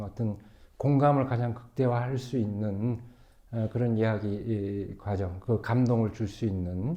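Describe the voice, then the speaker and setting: The speaker is a man. His voice carries a dark, mellow tone. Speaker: pastor. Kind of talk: panel discussion. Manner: slow.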